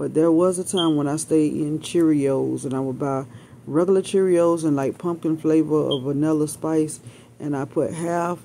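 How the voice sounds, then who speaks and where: A woman's very deep, low voice with fairly even intonation, under light background noise. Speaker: home vlogger. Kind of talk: casual vlog chat.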